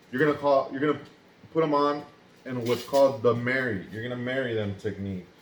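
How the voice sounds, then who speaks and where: A man's medium-pitched voice, with ordinary pitch variation, is heard over noticeable background noise. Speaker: first aid instructor. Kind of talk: tutorial. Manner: fast.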